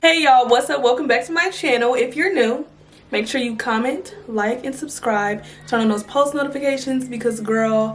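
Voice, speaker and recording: A woman speaks at a fairly quick pace in a high voice, with audible room echo and noticeable background noise. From California. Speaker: YouTuber, Navy veteran. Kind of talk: storytime vlog. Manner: animated, casual.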